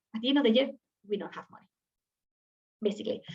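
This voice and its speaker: The voice is somewhat breathy and moves through ordinary pitch variation. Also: woman. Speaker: university program representative. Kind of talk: webinar presentation. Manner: fast.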